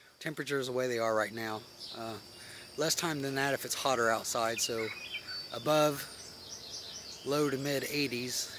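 At a moderate pace with long, frequent pauses, a man speaks with fairly even intonation in a dry sound with no echo, noticeable background noise behind him. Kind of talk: casual vlog chat. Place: forest. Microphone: phone near.

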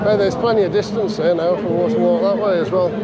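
Loud background noise is present, though the voice itself sounds dry with no echo. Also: man. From Wales. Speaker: YouTuber filming protests. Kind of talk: live vlog narration. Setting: outdoors at street protest. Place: street. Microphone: phone near.

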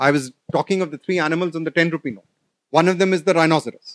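This man talks at a very fast pace. The background is quiet. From India (Delhi). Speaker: professor. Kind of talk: lecture. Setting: stage with audience. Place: hall. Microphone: podium.

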